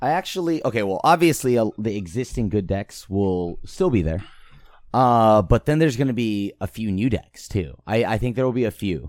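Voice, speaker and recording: A man speaks in a normal speaking voice at medium pitch. His moderate pace comes through on a very clean recording with a silent background. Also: lively intonation. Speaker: podcast co-host. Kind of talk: casual chat.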